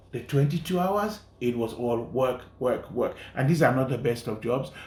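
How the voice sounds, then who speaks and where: With lively intonation and a medium pitch, a man speaks at a moderate pace over audible room echo. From Sierra Leone. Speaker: journalist and documentary filmmaker. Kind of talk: interview.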